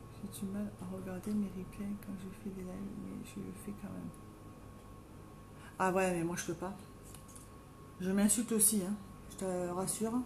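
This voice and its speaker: With a Marseille accent, a woman speaks at a fairly slow pace with long, frequent pauses, amid noticeable background noise and audible room echo. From southern France, Marseille. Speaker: makeup live streamer. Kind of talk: live stream casual chat with makeup tutorial. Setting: at home, live video stream.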